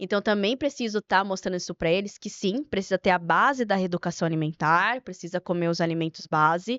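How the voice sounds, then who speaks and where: A woman talks at a fairly quick pace in a plain, everyday voice. Her pitch is medium, with ordinary variation. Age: young. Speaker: nutritionist. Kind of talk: podcast interview.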